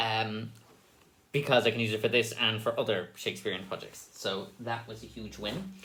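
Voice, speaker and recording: With an Irish accent, a man speaks at a moderate pace in a fairly low pitch with a bright, sharp tone. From Ireland. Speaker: stage actor. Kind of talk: casual behind-the-scenes monologue. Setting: dressing room, recorded on camera.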